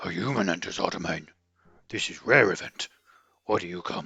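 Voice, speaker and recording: In a put-on character voice, a man speaks with a raspy, fairly low pitch. His pace is fairly quick. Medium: solo performance. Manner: broken, simple grammar.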